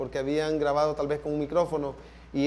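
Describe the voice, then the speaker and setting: A man speaks with a Salvadoran accent. His pitch is fairly high and his pace moderate. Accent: Salvadoran Spanish (voseo). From El Salvador. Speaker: sound engineer. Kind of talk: panel talk / masterclass conversation.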